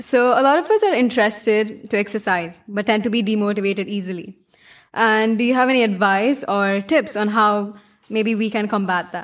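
A woman with a normal speaking voice, fairly high in pitch, with ordinary pitch variation and a moderate pace. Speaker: student podcast host. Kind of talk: casual interview. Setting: studio.

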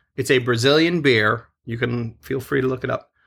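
A man speaks at a moderate pace with a bright, sharp tone. Vocal fry is audible in his voice. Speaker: podcast host. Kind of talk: casual chat. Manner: joking, laughs often.

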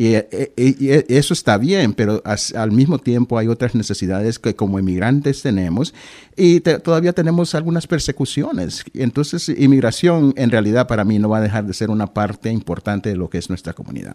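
This man has a medium-pitched, dark, mellow voice, talking at a fairly quick pace with hardly any pauses in a dry, close sound with no echo. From Honduras, then Boston from age 15. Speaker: government diversity official and local historian. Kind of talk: radio interview. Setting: radio studio.

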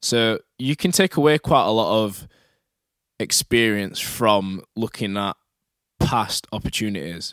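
A normal speaking voice from a man, fairly low in pitch, with lively intonation and a dry, close sound with no echo, on a very clean recording with a silent background. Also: fairly slow pace. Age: 20s. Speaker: personal trainer and podcast host. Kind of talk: solo podcast monologue. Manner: casual.

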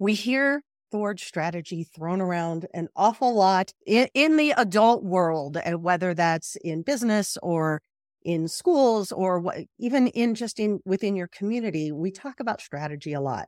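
Recorded very cleanly against a silent background, with a dry, close sound and no echo, a woman in an unremarkable speaking voice talks at a moderate pace in a medium pitch with lively intonation. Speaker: podcast host. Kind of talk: interview.

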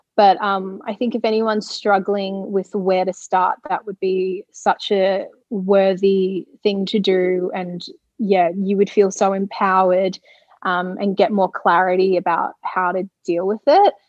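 A woman with an Australian accent talks at a fairly slow pace, her medium-pitched voice monotone and flat. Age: 20s. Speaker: radio presenter and author. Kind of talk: casual interview chat.

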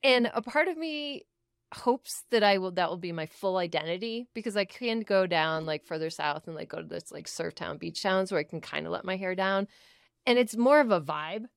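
In a normal speaking voice, a woman talks at a fairly quick pace with medium pitch, lively intonation and big swings in loudness, the sound dry and close with no echo and the recording very clean against a silent background. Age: 30s. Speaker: podcast co-host. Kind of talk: casual chat.

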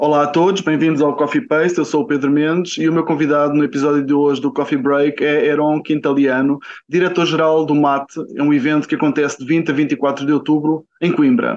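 This is a plain, everyday voice from a man, fairly high in pitch. His intonation is fairly even, his loudness very even, and his pace fairly quick. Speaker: podcast host. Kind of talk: interview.

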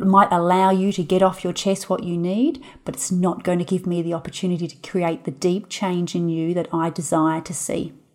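The clip is a very clean recording with a silent background. It features a normal speaking voice moving at a moderate pace. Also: woman. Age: 30s. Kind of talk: solo podcast monologue.

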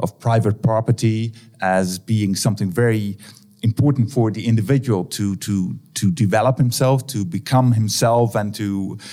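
A man with a Dutch accent speaks in a dark, mellow tone with ordinary pitch variation. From Netherlands. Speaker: academic researcher. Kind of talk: interview. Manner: halting.

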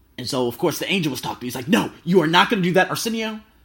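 Loud, animated, high-pitched male voice with an American accent on a very clean recording with a silent background. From US, Las Vegas. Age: 20s. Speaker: travel podcaster. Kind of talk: casual monologue. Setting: hotel room.

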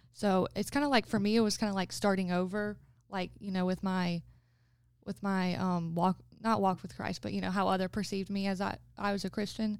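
A woman with an American accent has a plain, everyday voice of medium pitch. She talks at a fairly quick pace with fairly even intonation. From Florence, South Carolina. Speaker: college student. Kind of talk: casual chat.

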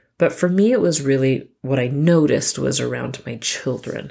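Woman's very deep, low voice, dark and mellow in tone, with ordinary pitch variation. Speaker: podcast host and mom coach. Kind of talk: solo podcast monologue. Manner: casual with filler words.

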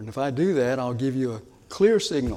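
Amid audible room echo, a man at medium pitch talks at a fairly quick pace. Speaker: pastor. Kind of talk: sermon.

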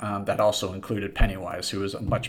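This man has an American accent and a somewhat breathy voice. He talks at a moderate pace. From US West Coast, San Diego. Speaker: podcast host. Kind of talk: casual monologue.

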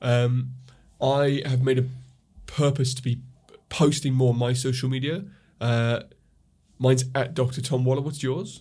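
A man's voice sits at a medium pitch with a dark, mellow tone and is somewhat breathy. He keeps a moderate pace, broken by long, frequent pauses. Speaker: podcast co-host, chiropractor. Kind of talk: casual chat. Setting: studio. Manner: animated.

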